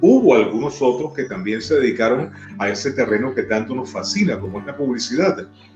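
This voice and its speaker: Over music in the background, a man with a Venezuelan accent speaks fairly quickly at a medium pitch with lively intonation. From Maracay, Venezuela. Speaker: radio announcer. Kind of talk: interview answer.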